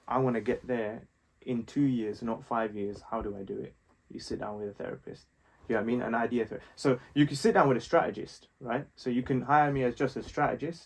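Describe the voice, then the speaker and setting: Speaking at a fairly quick pace, a man with a London accent keeps a medium pitch and ordinary pitch variation. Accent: London multicultural English. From West London, England. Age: 20s. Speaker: fashion designer and strategist. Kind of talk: casual chat.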